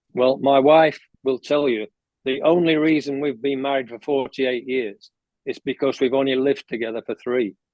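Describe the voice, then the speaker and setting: A man's medium-pitched voice in an English accent, with fairly even intonation at a moderate pace. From England. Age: 70s. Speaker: golf coach. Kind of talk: podcast interview.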